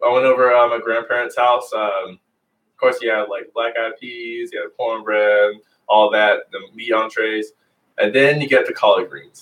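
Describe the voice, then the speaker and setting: A man talks at a moderate pace. His loudness swings a lot. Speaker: yoga instructor. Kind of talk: guided yoga class. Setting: livestream video class. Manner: soft-spoken.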